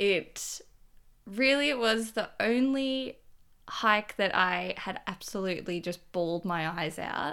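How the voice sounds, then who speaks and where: At a very slow pace, a woman with a bright, sharp tone and medium pitch speaks with lively intonation on a very clean recording with a silent background. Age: 20s. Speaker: hiker and traveller. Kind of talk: casual interview, storytelling.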